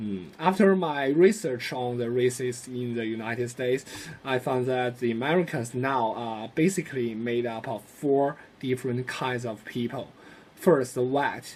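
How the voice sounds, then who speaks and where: Speaking at a moderate pace, a man with a Chinese accent uses a medium pitch with ordinary variation. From China. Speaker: student. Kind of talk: class presentation. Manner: hesitant, many fillers.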